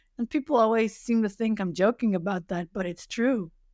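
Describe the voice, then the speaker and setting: A woman with a Dutch accent speaks at a moderate pace with ordinary pitch variation, on a very clean recording with a silent background. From Netherlands. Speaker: web accessibility specialist. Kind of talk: interview. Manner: hesitant, many fillers.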